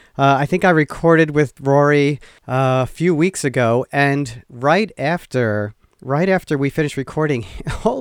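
A man's voice sits fairly high, with ordinary pitch variation, in a normal speaking voice. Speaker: podcast host. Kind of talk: casual interview. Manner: laughs often.

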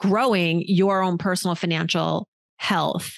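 Against a quiet background, a woman with a normal speaking voice at medium pitch talks at a fairly slow pace, the sound dry and close with no echo. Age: 40s. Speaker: personal finance journalist. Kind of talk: casual chat.

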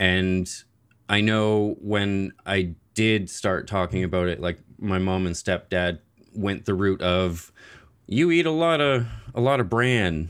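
Speech with a lively, bouncing intonation, delivered in a Maritime Canadian accent. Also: man. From Nova Scotia, Canada. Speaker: IBD advocate and gaming fundraiser founder. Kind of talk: interview.

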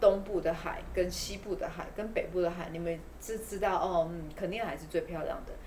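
A woman speaks with a Taiwanese accent. Audible room echo and noticeable background noise surround her voice. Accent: Taiwanese Mandarin. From Taiwan, Taipei. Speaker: community eco-tourism promoter. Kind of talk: casual interview.

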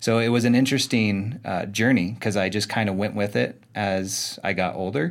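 In a plain, everyday voice, a man with an American accent talks at a fairly low pitch and a moderate pace, with ordinary pitch variation and hardly any pauses. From Arizona. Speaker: chiropractor and performance coach. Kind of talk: casual interview. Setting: studio.

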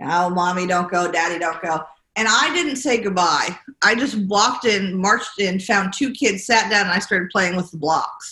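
With an American accent, a woman speaks at a medium pitch and moderate pace, her pitch varying in an ordinary way. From New York City. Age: 40s. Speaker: real estate executive. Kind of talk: interview.

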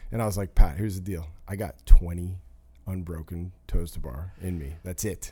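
A man with a very deep, low pitch speaks at a moderate pace and sounds somewhat breathy. His intonation is fairly even, but his loudness swings widely. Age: 40s. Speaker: sports agency president and co-host. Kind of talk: casual chat. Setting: studio.

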